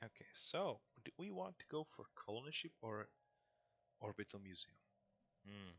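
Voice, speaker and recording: A man with a non-native accent, his speech broken by long, frequent pauses. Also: moderate pace, dry, close sound with no echo. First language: not English. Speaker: gaming YouTuber. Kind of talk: gameplay commentary. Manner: casual, hesitant.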